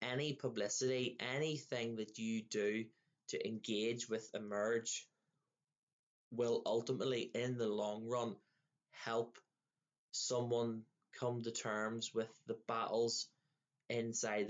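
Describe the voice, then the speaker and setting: A man in a Northern Irish accent, monotone and flat, very slow, with long, frequent pauses. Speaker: podcast host. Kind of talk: casual interview.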